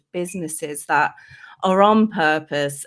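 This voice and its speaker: A woman with a London accent at a very slow pace, in a very clean recording with a silent background. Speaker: life coach. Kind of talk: interview.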